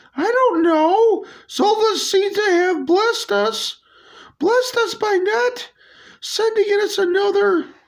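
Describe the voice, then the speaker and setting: A squeaky, put-on character voice talks at a fairly slow pace. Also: man, extremely high pitch for a man. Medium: solo performance.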